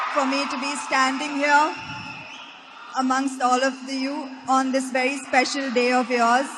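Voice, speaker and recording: A woman with an Indian accent, high in pitch, speaking at a fairly slow pace in a monotone with flat intonation, over noticeable background noise. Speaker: actress. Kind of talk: speech to students. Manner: inspirational.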